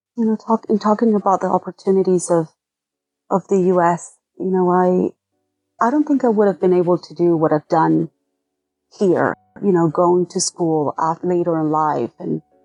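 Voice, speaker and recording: A woman with a Venezuelan accent and a fairly low pitch, ordinary pitch variation, a moderate pace broken by long, frequent pauses, a dry, close sound with no echo, and music in the background. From Venezuela (Caracas). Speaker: artist and art teacher. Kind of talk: interview.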